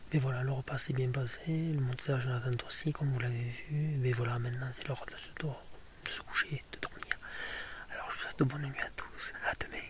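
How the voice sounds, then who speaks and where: Noticeable background noise surrounds a man who whispers at a fairly quick pace. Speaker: hiking vlogger. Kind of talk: outdoor vlog narration. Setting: outdoors in the mountains. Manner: whispering.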